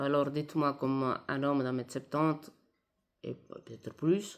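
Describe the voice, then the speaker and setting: A woman speaks with an Italian accent. Her intonation is fairly even. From Italy. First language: Italian (speaking French). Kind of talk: video monologue. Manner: hesitant, many fillers.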